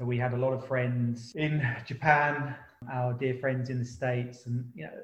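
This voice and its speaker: This man's voice is somewhat breathy and sits at a medium pitch. He talks at a moderate pace. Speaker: podcast host. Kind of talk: casual chat.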